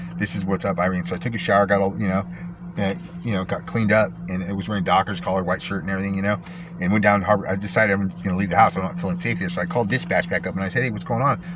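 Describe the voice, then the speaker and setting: A man speaks very fast with a fairly low pitch and lively intonation. Noticeable background noise runs under his voice. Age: 40s. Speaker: vlogger telling personal story. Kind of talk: personal storytelling monologue. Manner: animated.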